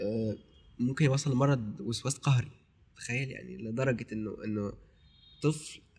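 At a moderate pace and medium pitch, a somewhat breathy man speaks with ordinary pitch variation, big swings in loudness, and long, frequent pauses. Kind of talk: casual chat.

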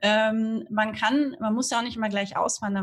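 A somewhat breathy woman at a moderate pace with fairly even intonation. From northern Germany, Hamburg. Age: 30s. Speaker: Instagram marketing freelancer, emigrant. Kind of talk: casual interview.

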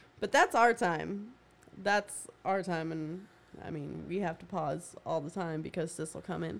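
A woman speaks at a fairly slow pace in a fairly low pitch. Her voice shows vocal fry and ordinary pitch variation. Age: 30s. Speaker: podcast co-host, mother. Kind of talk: casual chat.

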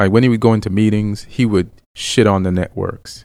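A man speaks at a fairly quick pace in a fairly low pitch. It is a normal speaking voice. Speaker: comedian. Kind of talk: casual chat. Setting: studio.

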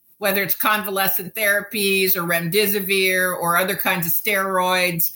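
A woman with an American accent and an ordinary speaking voice talks at medium pitch and a moderate pace. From US. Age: 60s. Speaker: sociobiologist and futurist. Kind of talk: interview. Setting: remote call.

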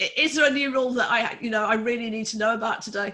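The recording is very clean with a silent background as a woman speaks in a fairly high voice. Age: 50s. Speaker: holistic health coach and nurse. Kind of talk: casual interview chat.

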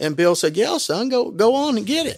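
An ordinary speaking voice with an American accent moves at a moderate pace with lively intonation on a very clean recording with a silent background. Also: man. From southern Indiana, Bean Blossom. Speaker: bluegrass park and museum owner. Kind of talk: interview. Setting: in a museum.

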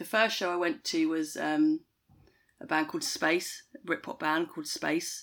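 In a southern English accent, a woman at medium pitch speaks at a fairly slow pace with very wide pitch swings, on a very clean recording with a silent background. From Kent, southeast England. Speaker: tour manager. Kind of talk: interview conversation. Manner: hesitant, many fillers.

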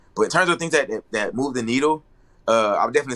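A man speaks in a bright, sharp tone. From Atlanta, US South. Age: 30s. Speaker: fashion designer. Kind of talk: casual chat.

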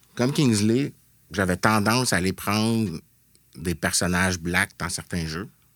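On a very clean recording with a silent background, a man speaks at a fairly slow pace in a bright, sharp tone with ordinary pitch variation. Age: 40s. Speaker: video game developer. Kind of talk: casual chat. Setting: studio.

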